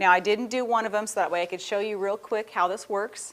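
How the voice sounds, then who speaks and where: The recording is very clean with a silent background. A woman speaks at a medium pitch. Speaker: craft show host. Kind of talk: tutorial. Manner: fast; casual, chatty.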